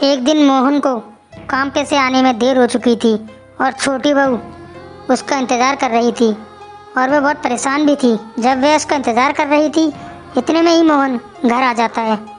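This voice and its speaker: A cartoonish character voice at a fairly quick pace, very even in loudness, over clearly audible background music. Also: woman, high pitch for a woman. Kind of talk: storytelling narration.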